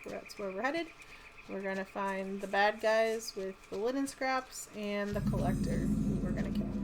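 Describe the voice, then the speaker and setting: A woman's pitch varies in an ordinary way while noticeable noise sounds behind her. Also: medium pitch for a woman, moderate pace. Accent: American. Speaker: gaming YouTuber. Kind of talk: gameplay commentary. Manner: casual, with frequent fillers.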